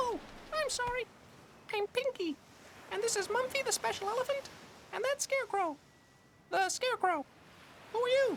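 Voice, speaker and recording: A cartoonish character voice squeaks at an extremely high pitch. Long pauses come often. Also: moderate pace. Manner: cheerful, muddled.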